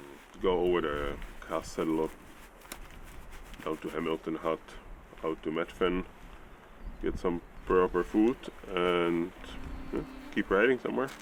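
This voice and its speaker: A man with a very deep, low pitch speaks at a fairly slow pace, leaving long, frequent pauses. His pitch varies in an ordinary way, and background noise is noticeable. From Czech Republic, Prague. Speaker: bikepacking racer. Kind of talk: interview.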